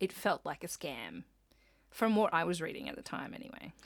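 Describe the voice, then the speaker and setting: With an Australian accent, a woman speaks at a fairly low pitch. Vocal fry runs through her voice. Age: 30s. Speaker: podcast co-host, visual artist. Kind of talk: casual chat.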